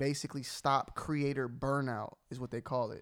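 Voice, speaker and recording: A man with an American accent and fairly high pitch talks fairly slowly in a very clean recording with a silent background. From Atlanta, US South. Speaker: sneaker YouTuber. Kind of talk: casual chat. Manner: animated.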